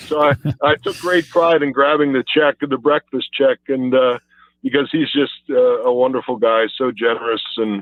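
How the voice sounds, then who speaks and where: A man's unremarkable speaking voice at a moderate pace with ordinary pitch variation. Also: fairly high pitch for a man. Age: 60s. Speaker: former pro football player. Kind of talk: phone interview. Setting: phone call.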